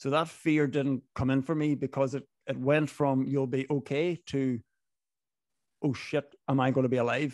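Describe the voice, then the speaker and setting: A man speaks in a Donegal accent with a flat, monotone delivery and very even loudness, the sound dry with no echo over a quiet background. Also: fairly high pitch for a man, moderate pace. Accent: Donegal Irish accent, sounds Northern Irish. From Ireland, Inishowen, Donegal. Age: 30s. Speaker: business owner, club founder. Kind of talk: podcast interview. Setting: video call. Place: home room. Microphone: studio mic.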